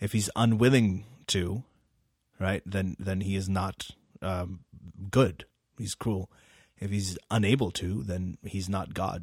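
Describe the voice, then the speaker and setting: A man with a very deep, low, somewhat breathy voice speaks at a very slow pace with fairly even intonation and long, frequent pauses. The recording is very clean, with a silent background. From Middle East and Pakistan. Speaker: physician and author. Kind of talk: casual conversation.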